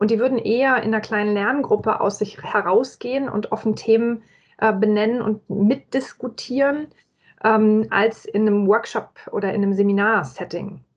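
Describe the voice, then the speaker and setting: Her pitch fairly high, a woman talks in a plain, everyday voice at a moderate pace with fairly even intonation. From Franconia, Germany (Nuremberg). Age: 40s. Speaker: corporate employee and agile learning method advocate. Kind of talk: casual interview.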